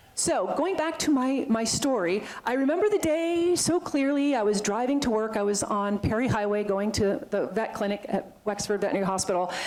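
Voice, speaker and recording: Against noticeable background noise, a woman with a fairly high pitch talks at a fairly quick pace with lively intonation, very even loudness, and hardly any pauses. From Vermont. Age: 50s. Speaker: veterinarian and animal sanctuary founder. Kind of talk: talk to a club. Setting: talk to a club audience. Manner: fast; animated.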